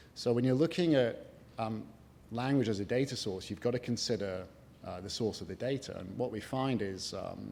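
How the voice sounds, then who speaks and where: A man at a moderate pace, ordinary pitch variation, with audible room echo around him. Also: medium pitch for a man. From Scotland. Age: 40s. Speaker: tech company executive. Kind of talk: conference panel talk. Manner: hesitant, with fillers.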